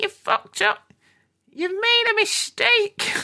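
A put-on character voice sits at an extremely high pitch. The pace is fairly slow. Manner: scolding.

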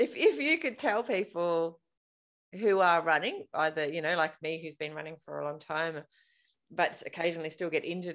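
With an Australian accent, a woman speaks at a fairly low pitch and ordinary pitch variation. Her pace is moderate. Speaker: podcast host. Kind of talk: casual interview. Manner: animated.

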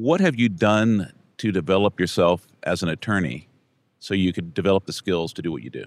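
A man with an American accent talks at a fairly quick pace in a very deep, low pitch with vocal fry and lively intonation. The recording is very clean with a silent background, and the sound is dry and close with no echo. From Brownsville, Texas. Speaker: podcast host, trial lawyer. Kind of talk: scripted outro; interview conversation.

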